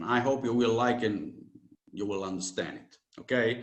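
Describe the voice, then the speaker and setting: Audible room echo surrounds a man's voice. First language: Italian. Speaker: spiritual teacher. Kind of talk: lecture. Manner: halting, many fillers.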